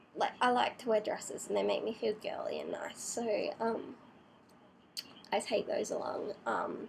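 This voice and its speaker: A woman does the talking. She speaks with an Australian accent. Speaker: vlogger. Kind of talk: casual vlog tutorial. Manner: hesitant, many fillers.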